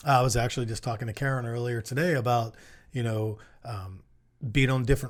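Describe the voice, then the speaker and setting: On a very clean recording with a silent background, a man of medium pitch speaks at a fairly quick pace with fairly even intonation. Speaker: small business consultant. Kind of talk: casual chat. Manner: fast.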